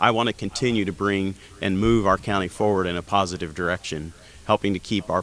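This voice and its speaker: Speaking at a fairly quick pace, a man with a Midwestern American accent has a fairly low pitch. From Indiana. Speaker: county council candidate. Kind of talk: candidate forum statement.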